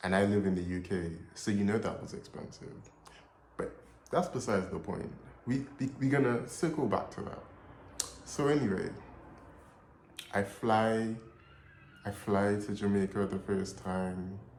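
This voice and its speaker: Long, frequent pauses break up a man's speech, his pitch fairly low with ordinary variation. The room echo is audible. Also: moderate pace. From Trinidad and Tobago heritage. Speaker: storyteller vlogger. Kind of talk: casual storytelling. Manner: animated.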